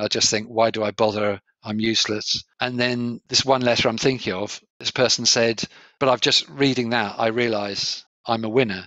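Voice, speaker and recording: A man with a southern English accent talks at a moderate pace. His medium-pitched voice is flat and monotone. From England (Kent, Sevenoaks). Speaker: coach and trainer. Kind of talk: interview conversation. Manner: clear, articulate.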